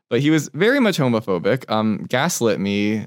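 With a Californian accent, a man speaks with lively intonation in a dry, close sound with no echo. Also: very clean recording, silent background. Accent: Californian American English. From Southern California (Torrance). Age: 20s. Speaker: cooking competition contestant. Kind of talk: casual interview chat.

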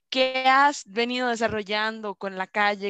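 In a Costa Rican accent, a woman with a fairly high pitch talks at a moderate pace against a quiet background. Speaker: podcast co-host, tarot reader. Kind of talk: casual chat.

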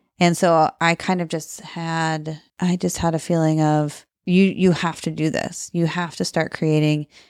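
With a Midwestern American accent, the speaker talks at a fairly slow pace in a monotone, flat intonation with hardly any pauses. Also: woman, fairly low pitch for a woman. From US Midwest, Cedar Rapids, Iowa. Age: 30s. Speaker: small business owner. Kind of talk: casual interview chat. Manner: laughs often.

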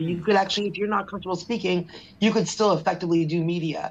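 She speaks very fast with a Canadian accent, her pitch fairly low for a woman. Her intonation stays fairly even. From Canada. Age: 50s. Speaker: publicist. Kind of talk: interview.

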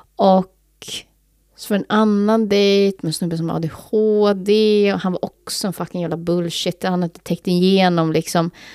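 In a very clean recording with a silent background and a dry, close sound with no echo, a woman talks at a moderate pace. Her medium-pitched voice has a dark, mellow tone and fairly even intonation. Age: 30s. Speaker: podcast co-host. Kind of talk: casual chat.

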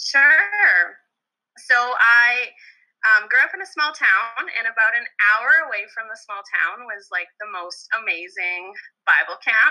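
In a Canadian Prairies accent, a woman speaks at a fairly slow pace and fairly high pitch with a bright, sharp tone, lively intonation and big swings in loudness. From Alberta, Canada. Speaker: elementary school teacher. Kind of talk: casual chat.

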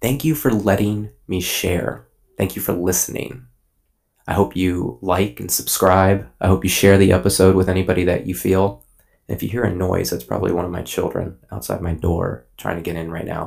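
Very deep and low, a man's voice carries vocal fry and lively intonation at a moderate pace. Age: 30s. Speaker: podcast host. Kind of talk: personal monologue.

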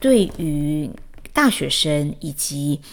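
Here a woman is speaking. Her pitch is very deep and low. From Taiwan, Chiayi. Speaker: podcast host, educator and mother. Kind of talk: personal monologue. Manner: hesitant, many fillers.

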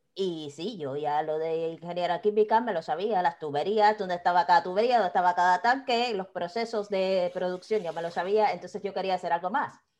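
A woman with an unremarkable speaking voice talks at medium pitch with ordinary pitch variation. She goes at a fairly quick pace with hardly any pauses. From Cuba, Havana. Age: 30s. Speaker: quality consultant and online business owner. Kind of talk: interview conversation.

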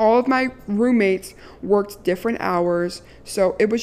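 Her tone animated, a woman speaks at a medium pitch with lively intonation. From Maryland. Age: 20s. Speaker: podcast host. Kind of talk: casual monologue.

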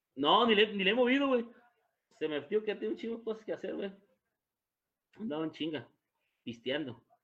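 The speaker moves at a fairly quick pace with very wide pitch swings, broken by long, frequent pauses. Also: man, high pitch for a man. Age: 30s. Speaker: podcast co-host. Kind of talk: casual chat. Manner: animated.

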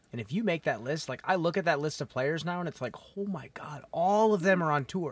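A man with an American accent talks at a fairly quick pace. His high-pitched voice carries lively intonation. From US Midwest. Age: 30s. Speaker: podcast host and disc golfer. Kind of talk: casual interview chat. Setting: in person, on mics at tournament.

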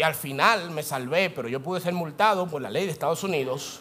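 A man speaks in an animated tone at a fairly high pitch. Noticeable background noise and audible room echo surround him. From Dominican Republic. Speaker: pastor. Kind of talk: sermon. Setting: church.

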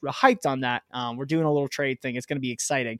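A plain, everyday voice from a man, fairly high in pitch with fairly even intonation, dry and close with no echo. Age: 20s. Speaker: cannabis grower and podcast host. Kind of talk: solo podcast monologue. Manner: casual, filler-heavy.

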